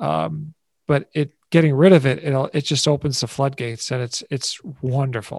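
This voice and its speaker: Here is a man with a plain, everyday voice and a fairly high pitch. The sound is dry and close with no echo, and the pitch variation is ordinary. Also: moderate pace. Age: 60s. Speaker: advertising veteran and stress-free living speaker. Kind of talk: interview conversation.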